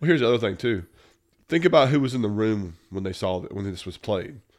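The recording is very clean with a silent background, carrying a man's fairly low voice. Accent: Southern US. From US South. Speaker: podcast host. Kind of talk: casual chat.

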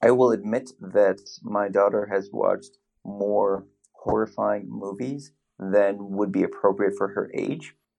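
This man speaks at a fairly low pitch with vocal fry, keeping a fairly slow pace and fairly even intonation. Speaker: podcast co-host. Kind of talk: casual chat.

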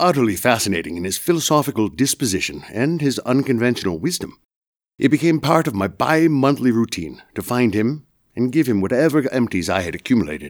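Talking at a fairly quick pace, a man with an American accent uses very wide pitch swings around a medium pitch, with vocal fry. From Massachusetts, US. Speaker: student storyteller. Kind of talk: personal storytelling performance.

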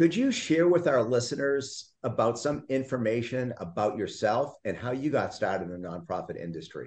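With an enthusiastic tone and lively intonation, a man talks through vocal fry with hardly any pauses. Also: medium pitch for a man, moderate pace. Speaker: podcast host. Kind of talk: interview.

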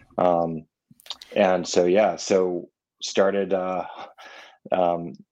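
A man with an American accent speaks in a very deep, low pitch. His intonation is monotone and flat. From Vermont, US. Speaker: salt maker and business founder. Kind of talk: casual interview chat. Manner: halting, many fillers.

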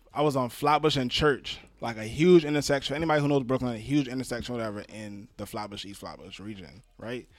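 In an ordinary speaking voice with an American accent, the speaker moves at a fairly quick pace with hardly any pauses, lively intonation and big swings in loudness. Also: man. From New York City. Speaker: podcast host. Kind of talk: casual podcast conversation.

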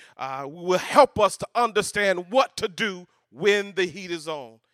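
This man talks in an animated, bright and sharp tone, pitched high for a man. The sound is dry and close with no echo, a very clean recording over a silent background. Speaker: preacher. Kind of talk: sermon preached to a live congregation, call-and-response. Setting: church stage with audience. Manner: animated, high-energy, rallying the crowd; colloquial, rhythmic, repeating phrases for emphasis.

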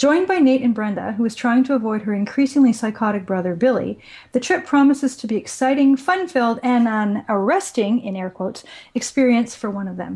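A woman speaks at a fairly quick pace in a plain, everyday voice. Her pitch is fairly high and her intonation lively. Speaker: podcast co-host. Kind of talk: casual chat.

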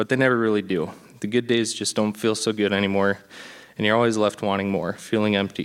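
With an Upper Midwest accent, a man talks very fast in a fairly low, monotone, flat voice. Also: very even loudness. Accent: Upper Midwest American. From Minnesota (Blaine). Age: 20s. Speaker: church member being baptized. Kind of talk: testimony. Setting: church.

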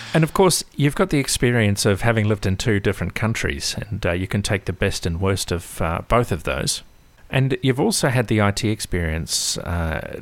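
A man with an Australian accent speaks at a moderate pace. His fairly low pitch carries lively intonation. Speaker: podcast host. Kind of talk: interview.

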